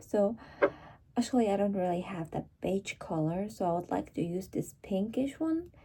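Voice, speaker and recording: Somewhat breathy and dark, mellow in tone, a woman speaks in a Mongolian accent at a medium pitch with lively intonation. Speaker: vlogger. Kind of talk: casual vlog chat. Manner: casual, slightly halting.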